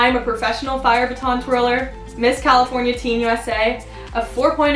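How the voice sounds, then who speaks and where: Over faint background music and audible room echo, a woman speaks at a moderate pace in a high voice. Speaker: pageant titleholder and content creator. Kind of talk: audition video talk to camera. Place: home room.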